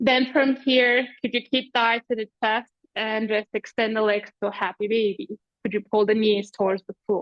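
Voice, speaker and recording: A woman with a non-native accent, fairly high-pitched, at a moderate pace. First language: not English. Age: 40s. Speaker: yoga teacher. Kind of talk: live online yoga class instruction. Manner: animated.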